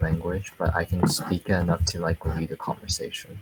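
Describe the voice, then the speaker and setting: A man with an American accent speaks in a very deep, low pitch and a flat, monotone delivery. Background noise is noticeable. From United States, Chinese family. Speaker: podcast guest. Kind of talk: casual chat. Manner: hesitant, many ums.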